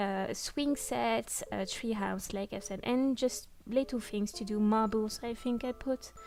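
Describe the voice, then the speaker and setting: Against music in the background, a woman with a fairly high pitch and a non-native accent speaks at a fairly slow pace with hardly any pauses and ordinary pitch variation. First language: not English. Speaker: gaming YouTuber. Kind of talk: casual chat. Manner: halting, many fillers.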